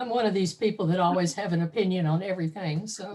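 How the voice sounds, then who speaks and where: With ordinary pitch variation, a woman speaks in a somewhat breathy voice at medium pitch. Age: 70s. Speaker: audience member. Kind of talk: casual chat.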